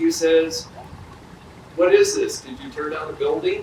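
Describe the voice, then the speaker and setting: Audible room echo and noticeable background noise surround a man talking at a moderate pace. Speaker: police chief. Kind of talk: ceremony speech with storytelling. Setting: outdoor memorial ceremony. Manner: loud.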